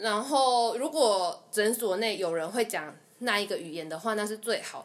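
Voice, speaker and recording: Using a normal speaking voice, a woman with a fairly high pitch talks at a moderate pace, her lively intonation paired with big swings in loudness. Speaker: dental assistant. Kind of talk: casual interview chat.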